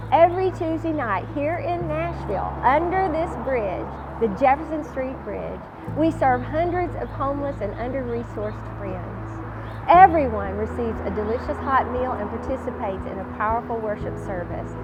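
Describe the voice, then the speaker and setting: A woman with a Southern US accent talks at a moderate pace with big swings in loudness, amid noticeable background noise and audible room echo. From Louisiana. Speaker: gospel singer and homeless ministry founder. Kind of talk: testimony; scripted narration.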